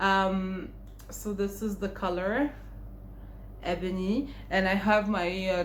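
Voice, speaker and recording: A woman's somewhat breathy voice at a very slow pace, with fairly even intonation and audible room echo. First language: Arabic (Egyptian). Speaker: beauty vlogger. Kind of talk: makeup tutorial and haul. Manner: casual, conversational.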